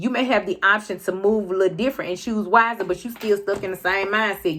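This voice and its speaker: A woman speaks at a fairly quick pace in a plain, everyday voice. Her pitch sits in the medium range. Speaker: tarot card reader. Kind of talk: tarot reading to camera.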